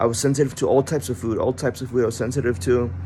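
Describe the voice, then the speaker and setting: A man talking at a very fast pace, with noticeable background noise. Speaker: chronic illness vlogger, former MMA trainee. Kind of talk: personal testimony. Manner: slurred words, halting; sluggish, sounds barely awake.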